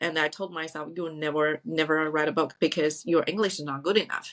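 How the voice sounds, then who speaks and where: A woman speaks at a moderate pace with a non-native accent, her pitch very deep and low. The recording is very clean with a silent background. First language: not English. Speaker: podcast host. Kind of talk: interview conversation. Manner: halting, searches for words.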